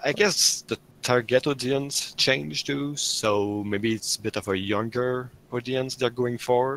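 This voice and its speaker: A man with a French Canadian accent, at a fairly slow pace, with ordinary pitch variation. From Quebec, Canada. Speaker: GTA Online update leaker. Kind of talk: casual podcast chat.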